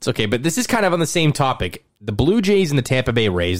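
A very fast-talking man with very wide pitch swings. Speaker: podcast host. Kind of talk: casual chat.

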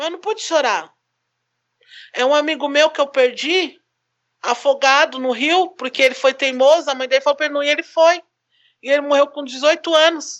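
A high-pitched woman's voice at a moderate pace, fairly even in intonation, with long, frequent pauses. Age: 30s. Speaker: photographer and single mother. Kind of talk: casual chat.

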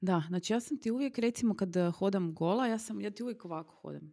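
The intonation is lively on a very clean recording with a silent background. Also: woman. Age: 40s. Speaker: podcast co-host. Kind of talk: casual chat.

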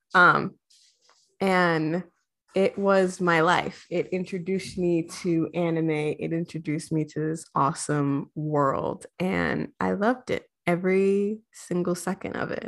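Here is a woman with an unremarkable speaking voice, talking at a fairly slow pace in a fairly low pitch. Her intonation is fairly even, and the recording is very clean with a silent background. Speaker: podcast co-host. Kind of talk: casual chat.

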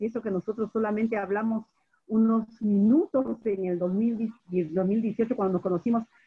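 A somewhat breathy woman with a fairly high pitch. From Peru. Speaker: radio host and business coach. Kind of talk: interview.

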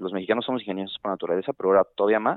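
Pitched fairly low, this man keeps his intonation fairly even. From Guadalajara, Jalisco, Mexico. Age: 20s. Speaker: supply chain worker and amateur investor. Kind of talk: casual chat.

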